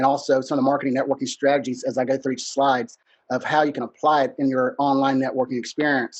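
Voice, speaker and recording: A man with a Texas accent, fairly high-pitched, at a very fast pace. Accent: country Texas. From Texas, Huntsville (rural East Texas). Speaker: business networking consultant. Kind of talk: webinar presentation. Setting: video webinar.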